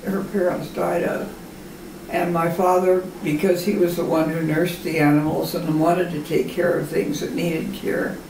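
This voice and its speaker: A woman's fairly low voice with fairly even intonation, light background noise and audible room echo. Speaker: grandmother telling family history. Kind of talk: oral history interview answer. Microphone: camera far.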